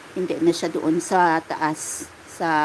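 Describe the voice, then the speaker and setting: The speaker has a Western Visayas accent and monotone, flat intonation. Noticeable background noise is present. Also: woman. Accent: Ilonggo accent when speaking Tagalog. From Iloilo, Philippines. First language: Hiligaynon (speaking Tagalog). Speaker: livestreamer. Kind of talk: casual chat. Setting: live stream.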